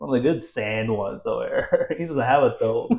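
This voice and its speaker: In an American accent, a man speaks at a fairly quick pace in an animated tone. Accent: American-sounding voice. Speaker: podcast guest. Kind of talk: casual chat.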